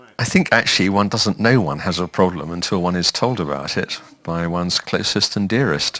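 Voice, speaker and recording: A man's very deep, low voice in a southern English accent, at a fairly quick pace with hardly any pauses. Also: ordinary pitch variation. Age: 70s. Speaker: retired man with hearing loss. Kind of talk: testimony.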